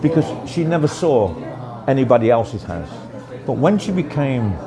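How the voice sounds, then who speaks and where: With audible room echo and noticeable background noise, a man speaks at a moderate pace in a medium pitch, his pitch swinging very widely. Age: 60s. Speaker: interviewee. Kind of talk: casual interview. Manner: hesitant, repeats words.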